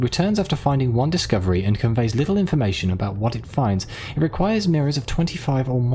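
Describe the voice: This is plain reading aloud. Nothing more stands out in the delivery.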